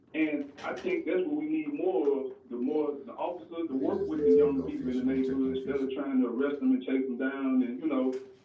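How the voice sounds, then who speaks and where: At a fairly quick pace with hardly any pauses, a man talks at a fairly high pitch with ordinary pitch variation. Audible room echo and noticeable background noise fill the recording. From West Jackson, Mississippi, US South. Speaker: caller. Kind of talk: call-in radio comment. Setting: phone call.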